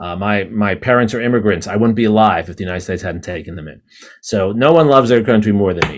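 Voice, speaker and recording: A man with an American accent at a very fast pace, his fairly low pitch showing ordinary variation. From New York City. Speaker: history professor. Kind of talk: interview conversation. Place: office. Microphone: video call.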